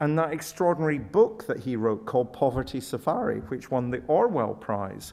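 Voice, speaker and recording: With a Scottish accent and lively intonation, a man speaks at a moderate pace and medium pitch in a very clean recording with a silent background. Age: 60s. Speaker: professor. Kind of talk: Q&A after lecture.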